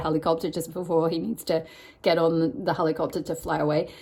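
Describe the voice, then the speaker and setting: A woman with a fairly low pitch talks as noticeable background noise carries on behind her. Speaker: tarot reader. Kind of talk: tarot card reading. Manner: fast.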